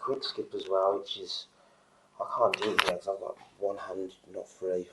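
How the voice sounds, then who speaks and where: Noticeable background noise fills the clip. Over it, a man speaks at a moderate pace. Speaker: DJ. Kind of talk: casual product demo to camera.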